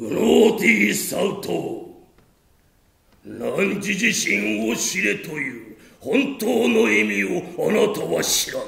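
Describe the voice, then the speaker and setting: A man talks at a fairly slow pace with a slight echo. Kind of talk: stage tragedy, archaic elder speech. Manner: weary, anguished, then accusing.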